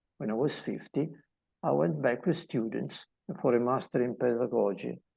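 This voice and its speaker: Over a quiet background, a man speaks at a medium pitch in a dark, mellow tone with vocal fry. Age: 60s. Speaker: mindset coach. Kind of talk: motivational talk. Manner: halting.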